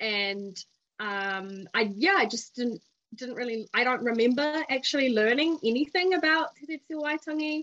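A woman with a New Zealand accent talks at a fairly slow pace in a high, bright, sharp voice, with lively intonation and big swings in loudness. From New Zealand, Porirua near Wellington. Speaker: policy worker and community volunteer. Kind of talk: interview chat. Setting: video call.

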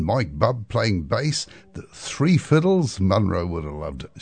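Over a quiet background, a man with a New Zealand accent and vocal fry speaks at a fairly slow pace. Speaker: radio host and bluegrass musician. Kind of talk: music radio presenting. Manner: relaxed, casual.

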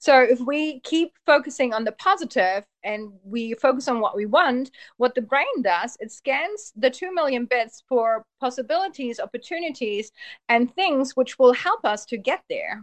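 With a German accent, a woman talks in a high pitch with lively intonation, recorded dry and close with no echo against a quiet background. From Germany, Polish family. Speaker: hypnotherapist. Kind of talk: casual interview. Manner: fast, run-on talker.

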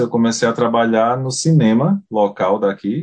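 The intonation is lively, set against a quiet background. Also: man. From Paraíba, Brazilian Northeast. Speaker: beekeeper. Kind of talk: casual interview.

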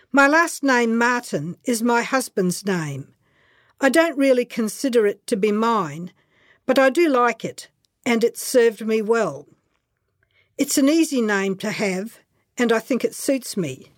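With an Australian accent, a woman speaks fairly slowly at a fairly high pitch, her intonation lively and her pauses long and frequent, in a very clean, dry, close recording with no echo and a silent background. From rural Queensland, Australia. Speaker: memoir writer. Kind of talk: reading aloud.

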